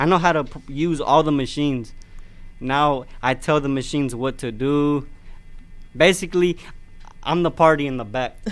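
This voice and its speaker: A man's fairly high voice at a fairly slow pace, with ordinary pitch variation and long, frequent pauses. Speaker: machine operator. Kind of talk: interview.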